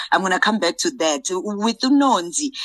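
At a moderate pace, a woman speaks at a fairly high pitch with very wide pitch swings. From South Africa, KwaZulu-Natal. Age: 30s. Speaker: actress. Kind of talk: interview.

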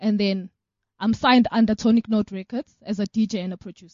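A woman's voice sits fairly high and sounds somewhat breathy. Her pace is moderate. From South Africa. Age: young. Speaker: organization co-founder and DJ. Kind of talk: radio interview.

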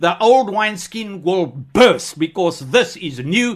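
Against a quiet background, a high-pitched man speaks at a fairly slow pace with lively intonation. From South Africa, Free State. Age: 60s. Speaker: preacher. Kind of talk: testimony. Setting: studio. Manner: animated.

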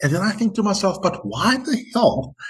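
A man's pitch swings very widely as he talks. His voice is somewhat breathy. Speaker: podcast host. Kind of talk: interview.

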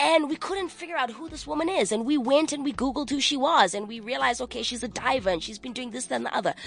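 A high-pitched woman with lively intonation, amid noticeable background noise. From South Africa, partly raised in Manchester, England. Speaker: entertainer. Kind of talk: casual chat. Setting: studio.

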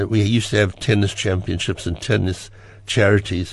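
A man's fairly low voice with vocal fry, at a fairly quick pace. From South Africa. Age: 80s. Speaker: theatre impresario and ticketing entrepreneur. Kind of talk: radio interview. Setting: studio.

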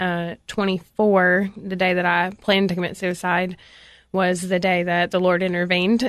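In a Southern US accent, the speaker talks in a monotone, flat intonation against a quiet background. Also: woman. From Tennessee, Cookeville area. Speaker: ministry director, recovering addict. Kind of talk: testimony. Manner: hesitant, many filler words.

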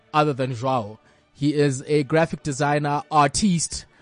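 Music plays in the background behind a man's voice, which sounds dry and close with no echo. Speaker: podcast host. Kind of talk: casual comedic banter. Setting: studio. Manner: animated, laughs often.

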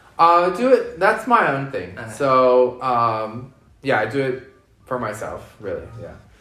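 With an American accent, a man at medium pitch talks at a fairly slow pace in a bright, sharp tone, his intonation lively and his loudness swinging widely, with room echo clearly audible. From US West Coast, Los Angeles. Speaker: drag queen and events manager. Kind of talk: interview.

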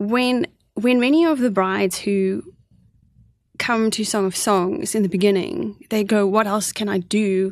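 Against a quiet background, a woman speaks fairly slowly with lively intonation. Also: medium pitch for a woman. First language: Afrikaans. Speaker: co-author. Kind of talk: radio interview. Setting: studio. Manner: articulate.

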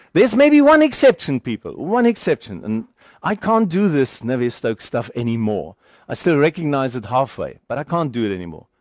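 With a German accent, a man speaks at a fairly quick pace in a fairly high voice with very wide pitch swings, the sound dry and close with no echo over a quiet background. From Germany, then South Africa from age 15. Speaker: engineering lecturer. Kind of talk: lecture.

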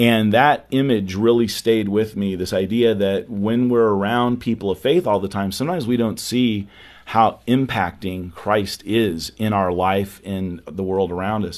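In an unremarkable speaking voice, a man talks at a fairly slow pace and a fairly low pitch, with ordinary pitch variation and hardly any pauses. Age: 50s. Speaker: youth ministry speaker and author. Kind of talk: interview.

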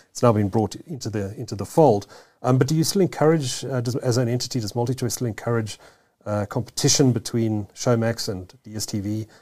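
Delivery comes at a fairly quick clip. It is an unremarkable speaking voice. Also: man, medium pitch for a man, ordinary pitch variation. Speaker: podcast host. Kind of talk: interview. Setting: studio.

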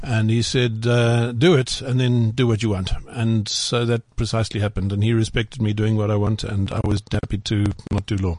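A man talks at a moderate pace with fairly even intonation and very even loudness, with noticeable background noise behind him. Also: medium pitch for a man. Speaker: writer and journalist. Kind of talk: casual studio interview.

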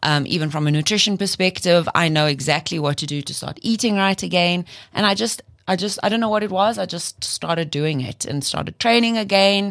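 At a fairly quick pace, a woman with an unremarkable speaking voice talks in a fairly low pitch with lively intonation. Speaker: gut coach and co-host. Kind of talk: casual chat.

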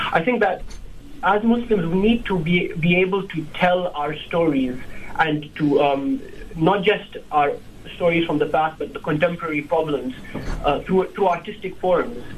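There is noticeable background noise behind a man whose high pitch shows ordinary variation. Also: moderate pace. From Kenya, Nairobi. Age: 20s. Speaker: film reviewer, law student. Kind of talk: radio interview. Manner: halting.

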